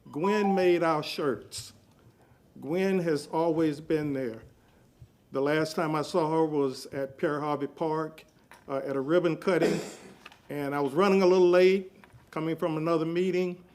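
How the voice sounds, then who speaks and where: A man with a fairly high pitch and an American accent talks at a fairly slow pace with fairly even intonation. Long, frequent pauses break his speech, and audible room echo surrounds it. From Tampa, Florida. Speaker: public commenter at city council. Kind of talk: public comment tribute. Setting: city council meeting.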